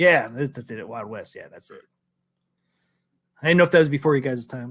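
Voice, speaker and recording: An unremarkable speaking voice from a man, fairly high in pitch, fairly quick, with ordinary pitch variation, big swings in loudness and a very clean recording against a silent background. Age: 40s. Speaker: arcade talk show host. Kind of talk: casual chat.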